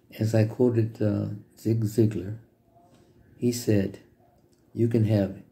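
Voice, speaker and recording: A man's fairly low, somewhat breathy voice with a dark, mellow tone, at a fairly slow pace. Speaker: business vlogger. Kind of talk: motivational talk to camera. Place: home room. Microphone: phone near.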